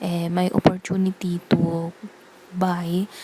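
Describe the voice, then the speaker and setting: Over noticeable background noise, a woman speaks very slowly at a fairly low pitch. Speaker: booktuber. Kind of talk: casual vlog chat. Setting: living room at night. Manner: soft-spoken. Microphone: bad audio quality.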